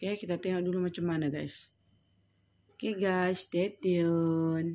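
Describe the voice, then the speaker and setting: Her voice is fairly low-pitched, with a dark, mellow tone. This woman talks at a fairly slow pace in monotone, flat intonation. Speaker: home baker vlogger. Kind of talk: cooking tutorial. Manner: casual, chatty.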